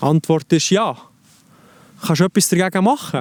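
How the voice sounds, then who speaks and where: In a Swiss accent, a man speaks at a fairly slow pace with a high pitch, the sound dry and close with no echo. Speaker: life coach. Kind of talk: self-help advice talk to camera.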